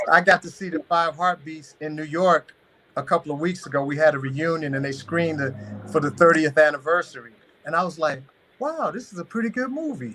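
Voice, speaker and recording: A man with a plain, everyday voice speaks at a fairly quick pace and fairly high pitch, with ordinary pitch variation and big swings in loudness. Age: 60s. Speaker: actor and health speaker. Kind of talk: live stream interview. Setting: live stream.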